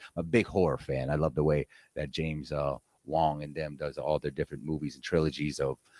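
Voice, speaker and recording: Very fast and very deep in pitch, a man speaks with a dark, mellow tone, vocal fry and fairly even intonation, in a dry, close sound with no echo. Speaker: livestream radio host. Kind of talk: casual chat.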